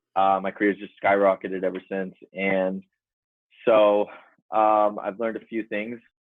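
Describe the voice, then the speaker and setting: At a moderate pace, a man speaks in a fairly low, flat monotone. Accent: American. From US West Coast, San Diego. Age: 20s. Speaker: real estate agent. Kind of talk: casual chat.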